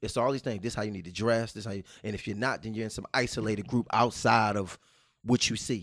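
A man delivers his words at a very fast pace, his intonation fairly even. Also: fairly low pitch for a man. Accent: American. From Baltimore, Maryland. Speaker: teacher. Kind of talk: casual interview.

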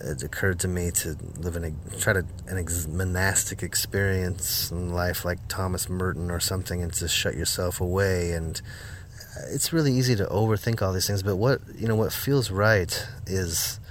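Recorded with audible room echo, a man with an American accent speaks at a very deep, low pitch. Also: ordinary pitch variation, moderate pace. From US Midwest, Northwest Iowa. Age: 40s. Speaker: folk musician. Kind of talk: interview.

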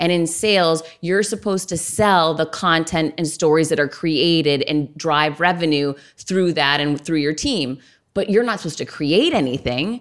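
On a very clean recording with a silent background, a woman with an unremarkable speaking voice talks at a moderate pace, with fairly low pitch and ordinary pitch variation. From Massachusetts (Worcester). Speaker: author and speaker, former sales executive. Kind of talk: interview conversation.

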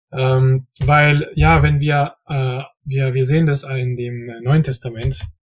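This man's voice is somewhat breathy, with medium pitch and fairly even intonation. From French-speaking region. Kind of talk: casual Bible discussion. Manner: halting, many fillers.

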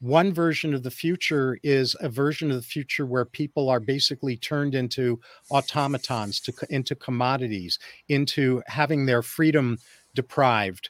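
A man with an ordinary speaking voice at medium pitch, ordinary pitch variation and a moderate pace, in a dry, close sound with no echo and a very clean recording over a silent background. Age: 60s. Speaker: psychologist. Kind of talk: interview. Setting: radio studio interview.

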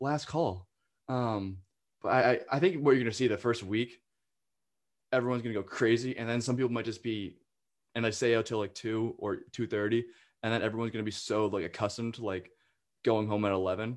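On a very clean recording with a silent background, a man with an American accent speaks at a fairly quick pace, his medium pitch held in fairly even intonation, with long, frequent pauses. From northern US. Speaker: student podcast host. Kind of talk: casual chat.

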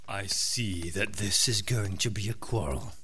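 A man puts on a character voice with a fairly low pitch. He speaks at a moderate pace over clear background noise. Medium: audio drama. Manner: earnest, measured.

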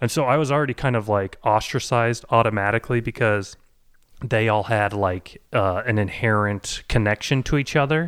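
In a very clean recording with a silent background, a man with an American accent and an unremarkable speaking voice talks at a moderate pace and medium pitch with ordinary pitch variation. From Boise, Idaho. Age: 30s. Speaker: podcast producer and comedian. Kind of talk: personal storytelling.

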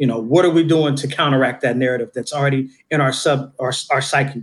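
An ordinary speaking voice with an American accent, fairly even intonation and a fairly quick pace. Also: man. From Oakland, California (East Oakland). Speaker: community mentor, professional. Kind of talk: interview conversation.

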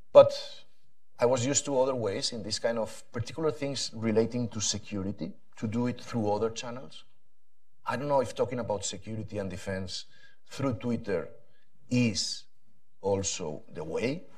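With a Spanish accent, a man speaks at a medium pitch and a moderate pace. He leaves long, frequent pauses, and his pitch varies in an ordinary way. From Spain. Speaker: policy panelist. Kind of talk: panel discussion.

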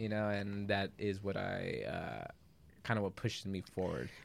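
A man with an American accent and a plain, everyday voice speaks at a fairly low pitch and a moderate pace in a very clean recording with a silent background. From Los Angeles, West Side. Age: 30s. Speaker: guest. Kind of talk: casual chat. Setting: studio.

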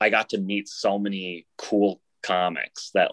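Recorded dry and close with no echo, a man talks with an American accent. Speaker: stand-up comedian. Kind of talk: casual interview. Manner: flat, unexcited-sounding.

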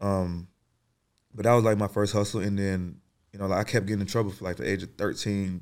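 On a very clean recording with a silent background, a man talks at a very fast pace in a fairly low pitch. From Atlanta, South Side (Clayton County). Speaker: podcast host. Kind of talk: casual chat.

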